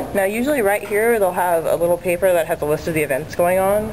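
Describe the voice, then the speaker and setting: A quiet woman speaks at a fairly quick pace in a fairly low pitch, with noticeable background noise behind her. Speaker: anime club member. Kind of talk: walking tour guide. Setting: outdoors on campus, walking. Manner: quiet, subdued.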